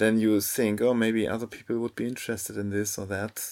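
In a very clean recording with a silent background, a man with a German accent talks at a moderate pace. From Germany. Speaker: photographer. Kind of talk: casual chat. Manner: calm.

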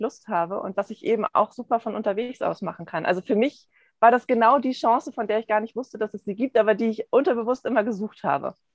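A woman in an ordinary speaking voice, fairly quick, with ordinary pitch variation and a dry, close sound with no echo. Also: quiet background. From Hamburg, Germany. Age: 40s. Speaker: essential oils consultant. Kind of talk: interview.

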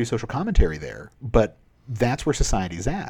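A man with vocal fry talks at a fairly quick pace. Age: 30s. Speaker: philosopher. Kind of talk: casual chat.

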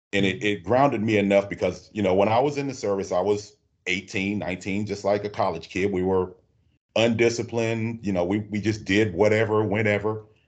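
Fairly low in pitch, a man talks at a fairly quick pace with fairly even intonation. The background is quiet. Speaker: bus driver, veteran and union rep. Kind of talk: casual interview.

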